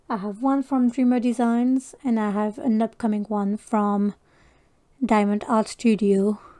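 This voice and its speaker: Fairly high-pitched for a woman, her dark, mellow voice with a French accent moves at a fairly slow pace with fairly even intonation in a dry, close sound with no echo. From France. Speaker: crafting YouTuber. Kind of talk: casual chat. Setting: livestream.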